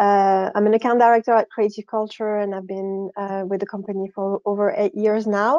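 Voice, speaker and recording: A woman with a French accent speaks at a moderate pace and medium pitch, with monotone, flat intonation and hardly any pauses. Her tone is dark and mellow, and the sound is dry and close with no echo over a quiet background. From France. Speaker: account director. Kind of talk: conference presentation. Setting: video call.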